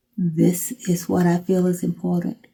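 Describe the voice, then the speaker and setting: A woman speaks very slowly in a medium-pitched, dark, mellow voice that is somewhat breathy. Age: 80s+. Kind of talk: interview.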